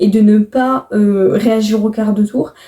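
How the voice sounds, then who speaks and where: A woman speaks very slowly in a fairly high, somewhat breathy voice. Her tone is dark, mellow and calm. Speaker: YouTuber. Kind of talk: casual podcast-style monologue. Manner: deliberately calm, slowed pace.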